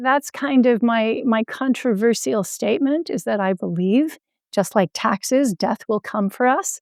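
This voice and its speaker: In a very clean recording with a silent background and a dry, close sound with no echo, a normal speaking voice moves at a fairly slow pace with lively intonation. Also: woman, fairly high pitch for a woman. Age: 60s. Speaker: health entrepreneur and patient advocate. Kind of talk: podcast interview.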